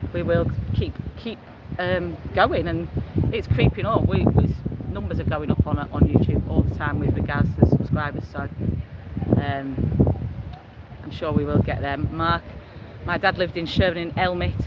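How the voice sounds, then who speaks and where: Against noticeable background noise, a man with a Yorkshire accent speaks at a moderate pace in a fairly high pitch, with very wide pitch swings and long, frequent pauses. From Yorkshire, Leeds. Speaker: travel vlogger. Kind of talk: live stream chat reading viewer messages. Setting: outdoors on the beach, walking. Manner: casual, hesitant with fillers.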